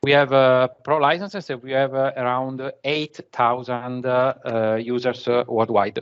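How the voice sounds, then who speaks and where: A man with a medium pitch talks fairly slowly, his pitch varying in an ordinary way. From Italy. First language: Italian. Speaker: conference speaker, BI manager. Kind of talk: technical presentation. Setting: remote video session from office. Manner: halting, many fillers.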